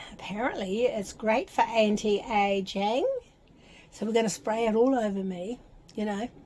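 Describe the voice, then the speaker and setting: A woman with a New Zealand accent speaks at a fairly high pitch. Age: 70s. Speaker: vlogger. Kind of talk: casual vlog with product unboxing. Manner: chatty, informal.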